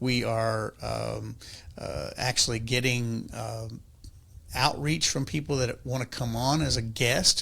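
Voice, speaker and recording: A man with a Texas accent speaks at a very slow pace. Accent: Texas twang. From East Texas. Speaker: podcast co-host. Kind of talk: casual chat. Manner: halting.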